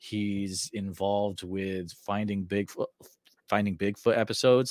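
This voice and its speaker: A man at fairly low pitch and fairly slow pace, a normal speaking voice, dry and close with no echo, on a very clean recording with a silent background. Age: 40s. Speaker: podcast host. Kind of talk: scripted outro and sponsor read; interview.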